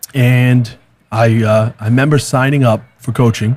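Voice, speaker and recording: Here a man speaks at a medium pitch. His voice is somewhat breathy. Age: 30s. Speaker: real estate team leader. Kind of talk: podcast interview. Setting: conference venue. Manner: halting, many fillers.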